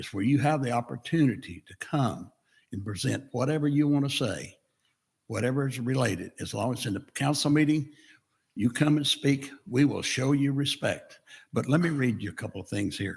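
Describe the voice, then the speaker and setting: At a moderate pace, a man speaks with a somewhat breathy voice at a medium pitch. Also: ordinary pitch variation. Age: 80s+. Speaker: town council member. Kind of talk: public speech at council meeting. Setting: podium at council meeting.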